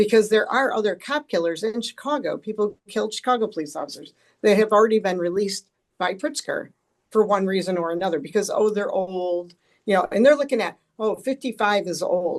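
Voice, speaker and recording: A woman with an ordinary speaking voice talks at a fairly quick pace and a medium pitch, with lively intonation. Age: 60s. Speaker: policy expert. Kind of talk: panel discussion.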